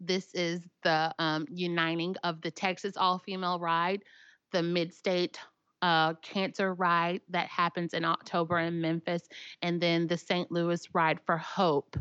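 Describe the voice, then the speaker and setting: A woman speaks in a Tennessee accent at a fairly slow pace, her pitch fairly low, her intonation monotone and flat and her loudness very even. The sound is dry and close with no echo against a quiet background. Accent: Southern US (Tennessee). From Tennessee, Williamson County. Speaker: motorcycle apparel business owner. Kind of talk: casual interview chat.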